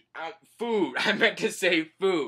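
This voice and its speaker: A raised, projected voice with a bright, sharp tone and lively intonation. The recording is very clean, with a silent background. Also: man. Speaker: manga reviewer. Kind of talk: casual recap of a manga chapter. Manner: halting, many fillers.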